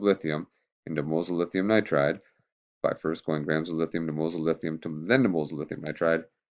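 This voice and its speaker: Very fast speech comes with fairly even intonation and big swings in loudness. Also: man. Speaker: chemistry teacher. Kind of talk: tutorial. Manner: casual.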